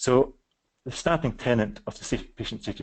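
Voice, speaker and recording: A man with a Scottish accent talks at a fairly quick pace with ordinary pitch variation over a quiet background. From West Scotland. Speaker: psychiatrist presenting a webinar. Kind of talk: webinar presentation. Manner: fast; halting, many fillers.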